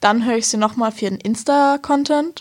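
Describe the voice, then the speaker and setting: A woman speaks at a moderate pace in a somewhat breathy voice. Her pitch variation is ordinary. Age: young. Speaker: volunteer researcher. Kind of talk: casual chat. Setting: studio.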